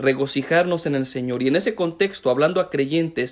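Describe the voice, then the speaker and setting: With ordinary pitch variation, a man delivers his words fairly quickly. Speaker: pastor. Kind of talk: sermon. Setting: online live stream. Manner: fast.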